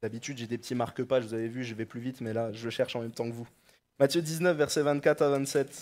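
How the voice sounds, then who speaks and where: A man talking at a very fast pace, with big swings in loudness. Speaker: preacher. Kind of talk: sermon. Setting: church. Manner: halting, with repeated words and fillers. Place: church. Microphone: headset.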